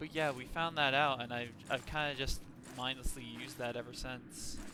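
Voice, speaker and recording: A man with an American accent speaks loudly. His pitch is medium. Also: moderate pace. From Texas. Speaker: gaming streamer. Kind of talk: casual gameplay commentary. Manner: animated.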